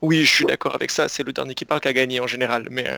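Talking very fast, a man has a bright, sharp tone in a dry, close recording with no echo. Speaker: podcast co-host.

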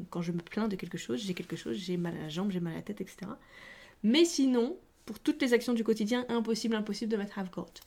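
At a very fast pace, a woman with a fairly high pitch speaks in a dark, mellow, somewhat breathy tone. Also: lively intonation. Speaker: English teacher podcaster. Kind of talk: language lesson. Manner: casual, chatty.

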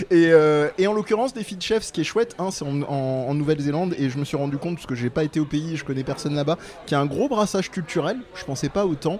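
A man with a fairly high pitch and lively intonation at a very fast pace, over noticeable background noise. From southern France. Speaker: podcast co-host. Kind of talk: casual chat.

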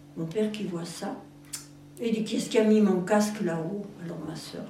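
A woman at a moderate pace with ordinary pitch variation, audible room echo and noticeable background noise. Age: 80s+. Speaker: farmers' daughter recounting memories. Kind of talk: oral history interview.

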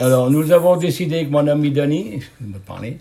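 A man's somewhat breathy voice, dark and mellow in tone, with ordinary pitch variation. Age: 70s. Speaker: retired steelworker, club committee member. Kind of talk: interview.

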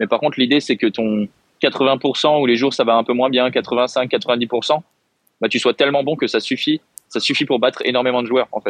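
Recorded with a dry, close sound and no echo, a man speaks at a moderate pace and medium pitch, with fairly even intonation and very even loudness. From France. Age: 20s. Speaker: professional badminton player. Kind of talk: interview.

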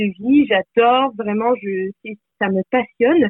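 Very slowly, a woman with a fairly high pitch speaks with ordinary pitch variation. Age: 20s. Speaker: life coach. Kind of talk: podcast interview.

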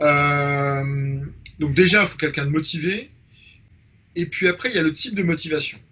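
At a moderate pace, a man speaks in a fairly high voice. His tone is bright and sharp, with ordinary pitch variation. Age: 50s. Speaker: photographer. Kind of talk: interview. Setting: home studio.

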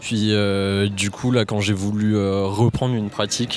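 A man speaks slowly-ish, at a fairly slow pace and fairly low pitch. Background noise is noticeable. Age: 20s. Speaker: software engineer. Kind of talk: casual chat.

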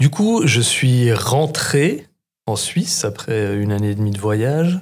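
A man at a medium pitch and a very slow pace, in a very clean recording with a silent background. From Switzerland, Bernese Jura. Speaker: market gardener and trainer. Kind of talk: casual chat.

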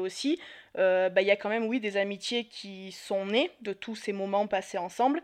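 The setting is quiet. A woman's voice sits at a medium pitch. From Marseille, southern France. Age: 30s. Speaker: podcast guest. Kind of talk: casual chat.

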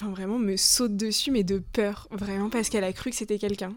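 Her pitch medium and her intonation fairly even, a woman talks in an unremarkable speaking voice. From Le Mans, France. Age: 20s. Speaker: tourism student. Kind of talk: casual chat.

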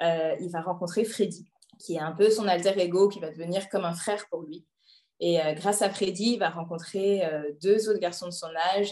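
The voice has a dark, mellow tone and moves at a moderate pace. Its intonation stays fairly even while the loudness swings widely. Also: woman, medium pitch for a woman. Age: 30s. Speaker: IT project manager and book recommender. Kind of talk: casual interview chat.

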